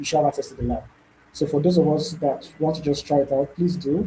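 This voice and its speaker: Talking at a very fast pace, a man with a dark, mellow tone keeps a fairly high pitch and ordinary pitch variation. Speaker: bootcamp instructor. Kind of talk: live online tutorial. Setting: video call with screen sharing.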